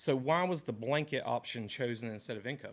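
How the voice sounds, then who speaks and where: Speaking with a western North Carolina accent, a man keeps a fairly quick pace. His pitch is medium, with ordinary pitch variation. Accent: Southern US, western North Carolina. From western North Carolina, Caldwell County. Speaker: resident speaking at public comment. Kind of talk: public comment at a government meeting. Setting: county commissioners' meeting room.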